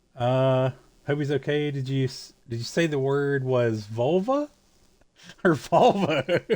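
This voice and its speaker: A man speaks at a very slow pace in a fairly high voice, with ordinary pitch variation. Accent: Southern US. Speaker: video game streamer. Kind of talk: casual live-stream chat. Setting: live stream. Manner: halting, with stammered restarts.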